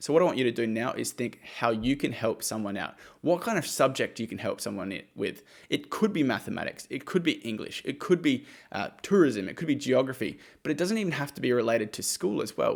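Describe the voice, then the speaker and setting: An energetic man with an Australian accent and a medium pitch talks at a fairly quick pace with very wide pitch swings, on a very clean recording with a silent background. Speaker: YouTuber giving money-making advice. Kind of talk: direct-to-camera explainer. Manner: casual, energetic.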